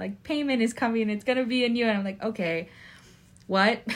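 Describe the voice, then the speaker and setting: A woman with an unremarkable speaking voice talks with lively intonation on a very clean recording with a silent background. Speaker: guest co-host. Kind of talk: casual chat.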